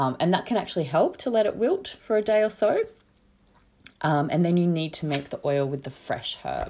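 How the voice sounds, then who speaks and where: With an Australian accent, a woman speaks at a moderate pace in a fairly low pitch, her dark, mellow tone carrying lively intonation. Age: 40s. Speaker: herbalist podcast host. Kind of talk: solo educational talk. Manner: casual, many filler words.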